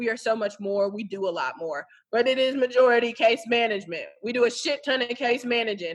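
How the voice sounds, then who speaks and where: This woman sounds animated, with a fairly high pitch and ordinary pitch variation. She speaks at a fairly quick pace. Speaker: social worker. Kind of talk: casual interview. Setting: phone call. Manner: loud.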